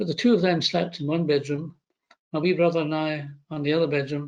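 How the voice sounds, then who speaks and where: A man's fairly high voice in a Scottish accent, with fairly even intonation. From Scotland, Glasgow area. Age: 70s. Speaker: retired doctor and former chief medical officer. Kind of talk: interview. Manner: hesitant.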